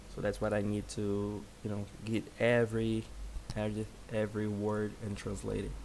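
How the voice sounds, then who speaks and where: A man speaks at a moderate pace in a fairly low pitch with flat, monotone intonation. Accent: Brazilian Portuguese. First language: Portuguese. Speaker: software developer. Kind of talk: live coding stream. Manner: halting.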